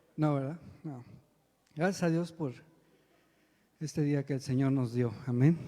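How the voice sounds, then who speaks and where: A man speaks at a fairly slow pace, his pitch fairly high, his tone dark and mellow. His intonation stays fairly even, broken by long, frequent pauses. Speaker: lay preacher and church drummer. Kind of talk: sermon. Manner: soft-spoken; halting.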